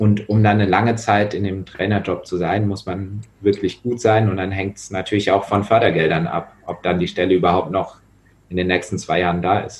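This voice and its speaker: Speaking at a moderate pace, a somewhat breathy man keeps a fairly low pitch and a monotone, flat intonation. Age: 20s. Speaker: volunteer rugby coach. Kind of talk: casual chat.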